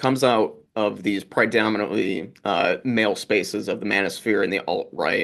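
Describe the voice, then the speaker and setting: A man's plain, everyday voice, fairly low in pitch, with an American accent, at a moderate pace over a quiet background. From US. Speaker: research fellow and moderator. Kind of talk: interview.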